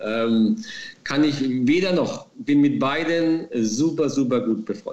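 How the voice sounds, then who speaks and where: A man with a fairly high pitch speaks very slowly, his intonation lively. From Baden-Württemberg, near Heidelberg. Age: 40s. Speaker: former footballer, racehorse trainer. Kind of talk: interview. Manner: hesitant with many fillers.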